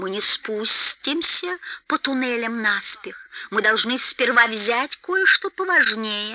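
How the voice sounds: Slow and bright, this put-on character voice has a sharp tone and lively intonation.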